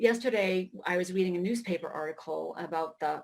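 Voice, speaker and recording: A woman talks at a fairly quick pace with an American accent. Hers is an unremarkable speaking voice, medium in pitch, with ordinary pitch variation. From Maine, US. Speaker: writer. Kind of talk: keynote speech.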